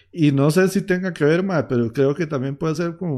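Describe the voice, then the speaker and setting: On a very clean recording with a silent background, a man with a dark, mellow tone and a Costa Rican accent speaks at a fairly quick pace with ordinary pitch variation. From Costa Rica, Heredia. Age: 20s. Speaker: podcast host, musician. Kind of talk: casual interview chat. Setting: live stream, home.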